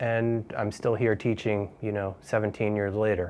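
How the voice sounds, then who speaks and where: A man with an American accent and a normal speaking voice talks at a moderate pace and fairly low pitch, with fairly even intonation. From United States. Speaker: English teacher. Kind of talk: interview. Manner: relaxed, frequent fillers.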